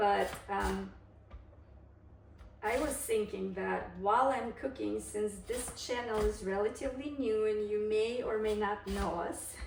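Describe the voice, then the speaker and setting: At a fairly slow pace, a woman speaks amid noticeable background noise and audible room echo. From Kazakhstan, then Germany as a teen. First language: Russian. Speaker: cooking vlogger. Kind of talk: cooking tutorial with storytelling. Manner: casual, hesitant with frequent fillers.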